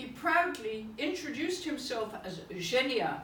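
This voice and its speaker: A woman's very slow speech with an English accent and very wide pitch swings, with audible room echo and noticeable background noise. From England. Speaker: poet. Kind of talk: reading aloud. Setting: private salon with audience.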